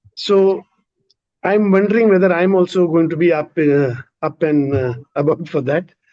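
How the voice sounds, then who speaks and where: A high-pitched man's voice at very even loudness, broken by long, frequent pauses. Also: ordinary pitch variation, moderate pace. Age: 60s. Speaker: audience member asking a question. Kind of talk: Q&A question. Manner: halting.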